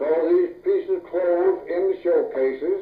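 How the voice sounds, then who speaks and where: A man speaks with a Southern US accent. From North Louisiana, USA. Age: 80s+. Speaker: farmer, logger, former deputy sheriff. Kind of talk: oral history interview answer.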